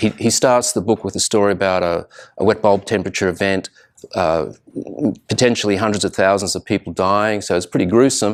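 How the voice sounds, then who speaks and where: With an Australian accent, a man speaks at a fairly quick pace in a fairly low voice with fairly even intonation, on a very clean recording with a silent background. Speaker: researcher, guest lecturer. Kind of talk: lecture. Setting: live presentation to students.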